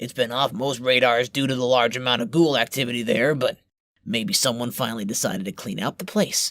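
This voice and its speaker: In a very clean recording with a silent background, a man puts on a raspy character voice at a medium pitch and a moderate pace. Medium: audio drama. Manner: gruff, crude, confident.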